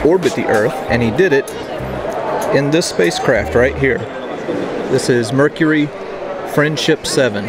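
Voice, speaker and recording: A man's voice with ordinary pitch variation, dry with no echo, over music in the background. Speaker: travel vlogger. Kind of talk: casual vlog chat, museum tour commentary. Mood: enthusiastic, curious. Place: hall. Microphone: lapel.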